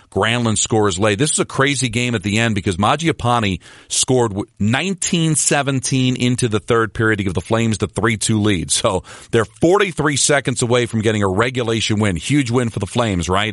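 A man's plain, everyday voice at medium pitch, lively in intonation and very even in loudness, fairly quick with hardly any pauses, dry and close with no echo over a quiet background. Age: 50s. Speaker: hockey podcast host and sports radio host. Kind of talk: solo sports recap podcast.

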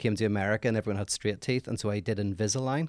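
A man rattles off his words at a very fast pace in a dry, close sound with no echo. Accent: Northern Irish. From Northern Ireland. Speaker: philosopher. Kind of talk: casual chat.

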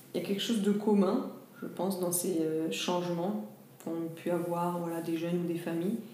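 A woman speaks with ordinary pitch variation. Noticeable background noise and audible room echo surround her. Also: fairly low pitch for a woman, moderate pace. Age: 40s. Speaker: social sector worker and leukemia patient. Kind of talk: interview. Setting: hospital room. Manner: halting, many fillers. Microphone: voice muffled by face mask.

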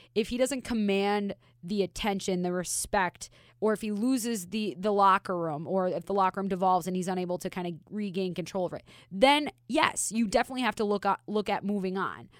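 In a very clean recording with a silent background and a dry, close sound with no echo, a woman speaks fairly quickly in a normal speaking voice at a medium pitch with ordinary pitch variation. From Minnesota. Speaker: hockey reporter. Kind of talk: casual chat.

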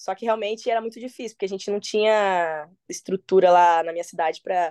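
A woman speaks at medium pitch with a dark, mellow tone and fairly even intonation. The sound is dry and close, with no echo. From Paraná, Brazil. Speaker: MMA fighter. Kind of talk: casual interview. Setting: phone call.

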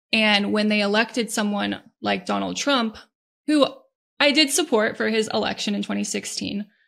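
In a very clean recording with a silent background, a woman with an American accent talks at a moderate pace. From Northern Virginia. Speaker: political activist. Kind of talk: interview.

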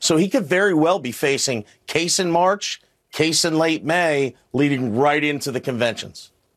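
Fairly high pitch from a man, an ordinary speaking voice, ordinary pitch variation and a moderate pace. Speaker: former litigator. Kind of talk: panel discussion.

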